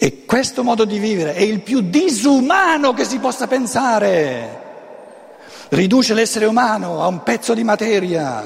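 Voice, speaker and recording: A man talks at a fairly slow pace with a high pitch. Noticeable background noise and audible room echo fill the recording. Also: lively intonation. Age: 70s. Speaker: author and lecturer. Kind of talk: lecture. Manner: halting.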